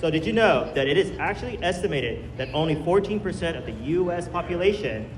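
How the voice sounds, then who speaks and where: Audible room echo and noticeable background noise accompany a man speaking at a moderate pace and a fairly high pitch. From US, child of Chinese immigrants. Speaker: speaker at health event. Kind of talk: public talk. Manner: casual, conversational.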